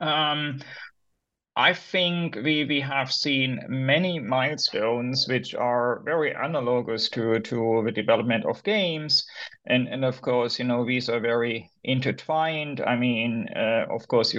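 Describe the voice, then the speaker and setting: A man with a German accent speaks at a moderate pace against a quiet background. His medium pitch moves with ordinary variation. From Germany. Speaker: academic author. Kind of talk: interview. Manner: halting.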